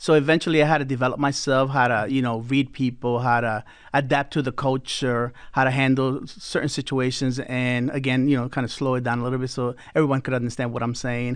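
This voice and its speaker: A man with an American accent talks with hardly any pauses at a medium pitch. His intonation is monotone and flat, and the background is quiet. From northern US. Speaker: quality control manager. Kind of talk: interview. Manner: fast.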